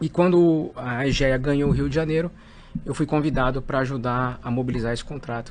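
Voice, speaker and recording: A normal speaking voice from a man, medium-pitched, fairly quick, with fairly even intonation. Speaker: company executive. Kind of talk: interview.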